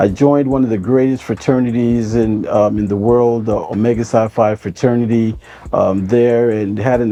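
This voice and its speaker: Over noticeable background noise, a man talks at a moderate pace and a medium pitch with fairly even intonation. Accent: American. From US Midwest, Cleveland, Ohio. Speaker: nonprofit founder. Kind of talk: interview monologue. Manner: hesitant, many fillers.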